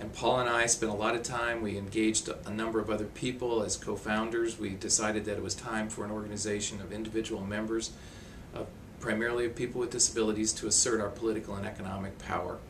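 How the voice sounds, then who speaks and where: A man's very fast, monotone delivery in a fairly low pitch with an American accent, flat intonation, audible room echo and noticeable background noise. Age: 60s. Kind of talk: interview testimony.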